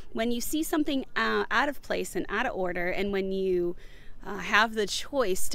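A woman speaks with lively intonation in a dry sound with no echo, over light background noise. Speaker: home organizing vlogger. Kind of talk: casual vlog chat. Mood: cheerful, chatty.

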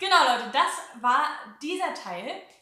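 In a Hamburg accent, a woman speaks in a raised, projected voice with very wide pitch swings, and the room echo is audible. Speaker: YouTuber. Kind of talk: casual chat. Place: home room.

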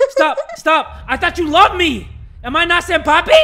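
Over music in the background, a man shouts in a raised, projected, extremely high voice with a panicked tone. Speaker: gaming YouTuber. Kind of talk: horror game commentary. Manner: screaming, panicked.

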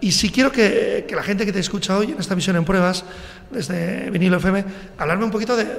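This man's voice is high-pitched with ordinary pitch variation. He talks at a fairly quick pace. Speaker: radio host. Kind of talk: radio interview with candidates. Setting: radio studio, live broadcast. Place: studio.

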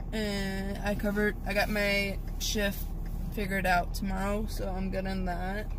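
Against noticeable background noise, a woman speaks in a monotone, flat intonation with a dry sound and no echo. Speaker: vlogger. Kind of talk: casual vlog chat. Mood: relaxed, chatty. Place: car. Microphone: phone near.

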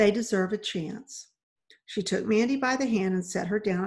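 Against a quiet background, the text is given as plain reading aloud with ordinary pitch variation.

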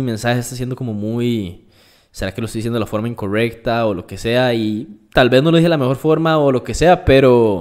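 A man with a Costa Rican accent at medium pitch, at a fairly quick pace, with ordinary pitch variation. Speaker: fitness and nutrition influencer. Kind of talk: casual interview.

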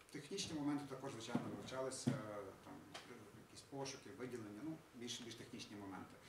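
Loud background noise surrounds a man who talks at a very fast pace yet leaves long, frequent pauses. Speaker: web programmer. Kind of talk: project presentation. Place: hall.

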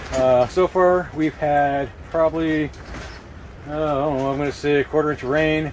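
A man speaks over noticeable background noise. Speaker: camping channel host. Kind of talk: casual product review vlog. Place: tent. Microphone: phone near.

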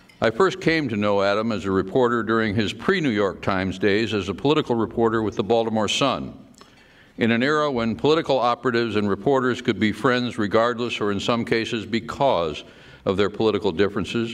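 The pitch shows ordinary variation. A man delivers it very rapidly. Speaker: speaker. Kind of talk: prepared tribute speech. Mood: warm, reminiscent. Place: hall. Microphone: podium.

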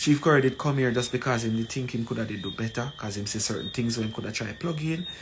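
At a fast pace, a man speaks at a medium pitch with ordinary pitch variation and faint background noise.

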